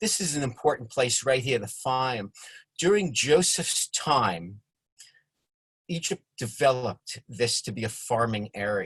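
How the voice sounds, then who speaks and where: In a New York accent, a man at a medium pitch swings his pitch very widely, speaking fairly slowly in a dry, close sound with no echo. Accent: New York accent, noticeable. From New York (Bronx and Long Island). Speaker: congregation member presenting a study session. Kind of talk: informal lecture with slides. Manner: drops middle syllables; hesitant, many fillers and repetitions.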